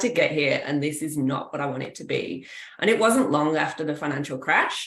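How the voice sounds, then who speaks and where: Her lively intonation carries at a moderate pace through audible room echo. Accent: English. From England. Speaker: kinesiologist. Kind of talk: interview.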